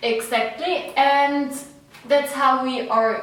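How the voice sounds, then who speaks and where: In a Swiss accent, the speaker moves at a very slow pace with fairly even intonation. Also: woman. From Switzerland. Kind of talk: casual talk to camera.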